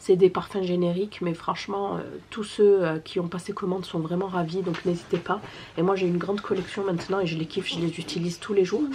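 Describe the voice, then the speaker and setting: Soft-spoken and medium-pitched, a woman talks at a fairly quick pace in a monotone, flat way. Noticeable background noise runs underneath. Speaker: family vlogger. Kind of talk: sales pitch; casual vlog. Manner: hesitant.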